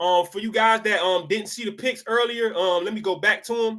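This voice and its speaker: At a fairly quick pace, a man with an American accent speaks in a bright, sharp, animated tone. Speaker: sports picks youtuber. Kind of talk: casual sports talk monologue. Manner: fast.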